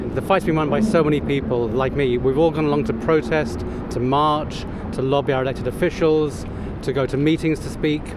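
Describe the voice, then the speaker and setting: Noticeable background noise and audible room echo accompany this recording. A man talks at a fairly quick pace with fairly even intonation. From London, England. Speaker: volunteer activist. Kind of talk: street interview.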